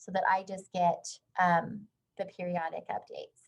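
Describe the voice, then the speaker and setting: Her voice has a somewhat breathy quality. The speaker is a woman. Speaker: HR consultant and workshop presenter. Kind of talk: webinar lecture.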